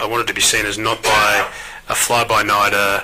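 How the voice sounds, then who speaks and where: Against noticeable background noise, a man in an Australian accent speaks at a moderate pace and medium pitch. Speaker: agribusiness company executive. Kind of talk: interview.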